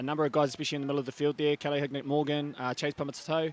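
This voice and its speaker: A man's fairly high voice in a New Zealand accent. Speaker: touch referee, guest commentator. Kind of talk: live sports commentary. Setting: commentary box.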